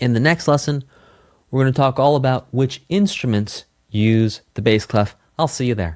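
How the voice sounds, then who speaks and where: At a moderate pace, a man with a normal speaking voice talks at a medium pitch. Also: lively intonation. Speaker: music teacher. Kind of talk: online lesson.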